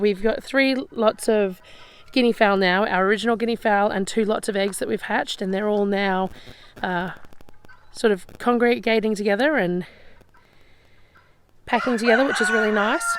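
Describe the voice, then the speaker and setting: With an Australian accent, a woman speaks at a moderate pace and medium pitch, leaving long, frequent pauses. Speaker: off-grid homesteader. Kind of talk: casual walking tour to camera. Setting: outdoors.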